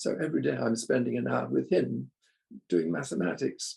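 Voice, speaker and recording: At a moderate pace, this man talks in a British accent. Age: 80s+. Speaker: recovery group member sharing. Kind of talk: testimony. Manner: halting.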